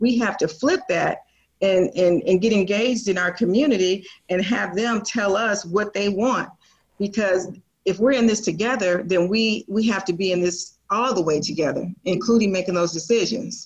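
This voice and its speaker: A woman with an American accent talks at a moderate pace and medium pitch, somewhat breathy, with ordinary pitch variation and very even loudness. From Portland, Oregon. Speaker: city council candidate. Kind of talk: interview. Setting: video call.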